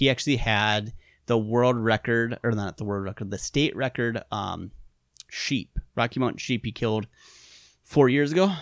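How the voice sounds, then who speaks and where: With a Wisconsin accent, a man speaks at a moderate pace and medium pitch, with ordinary pitch variation. The recording is very clean, with a silent background and a dry, close sound with no echo. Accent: Upper Midwest (Wisconsin). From Upper Peninsula of Michigan, raised in western Wisconsin. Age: 30s. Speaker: archery industry veteran and bowhunter. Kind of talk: casual interview chat. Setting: studio, face to face. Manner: hesitant, many fillers.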